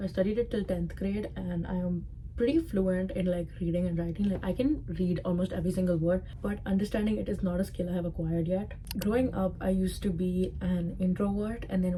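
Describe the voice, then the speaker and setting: With a strong Indian accent, the speaker goes at a fairly quick pace and fairly even intonation against noticeable background noise. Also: woman. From Dubai, Indian community. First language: Sindhi. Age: 20s. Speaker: content creator. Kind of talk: casual vlog talk to camera.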